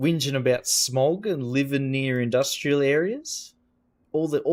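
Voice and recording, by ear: This is reading aloud in a natural voice, with ordinary pitch variation. The background is quiet.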